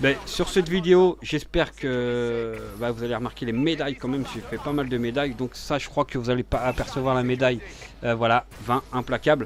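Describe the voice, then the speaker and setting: Noticeable background noise sits behind a man whose medium-pitched voice shows ordinary pitch variation. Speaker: gaming youtuber. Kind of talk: gameplay commentary. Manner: fast.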